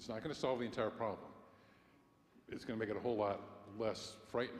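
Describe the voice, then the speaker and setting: A man's voice with fairly even intonation. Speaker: congregation member. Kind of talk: meeting discussion. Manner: loud; projecting.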